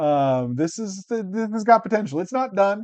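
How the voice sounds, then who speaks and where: The voice belongs to a man and is loud. His tone is dark and mellow. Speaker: card game content creator. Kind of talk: casual chat while playing a card game.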